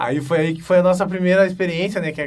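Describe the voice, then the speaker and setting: A high-pitched man with a Gaúcho Brazilian accent, at a very fast pace. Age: 20s. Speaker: pro wrestler. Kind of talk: interview monologue. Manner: casual, hesitant with fillers.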